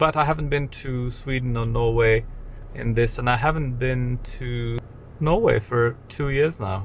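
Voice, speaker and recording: Here a man speaks in a somewhat breathy voice with fairly even intonation. The sound is dry with no echo, and there is light background noise. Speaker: travel vlogger. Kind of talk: casual vlog chat. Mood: wry, joking. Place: car. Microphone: camera far.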